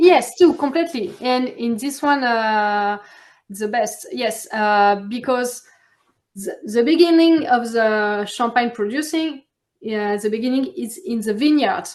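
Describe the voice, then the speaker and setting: A woman with a French accent speaks in a high voice with lively intonation. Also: fairly slow pace. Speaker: champagne producer. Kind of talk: interview. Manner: halting.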